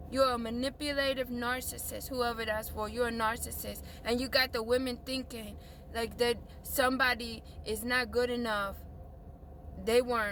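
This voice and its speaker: An animated tone at a moderate pace, broken by long, frequent pauses. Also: woman, high pitch for a woman. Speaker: video blogger. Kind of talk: emotional rant to camera.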